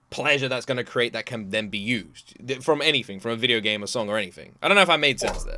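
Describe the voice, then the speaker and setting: Very wide pitch swings and an animated, bright, sharp tone mark this man's speech in a British accent. The recording is very clean, with a silent background. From Britain. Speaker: reaction video creator. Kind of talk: casual reaction commentary.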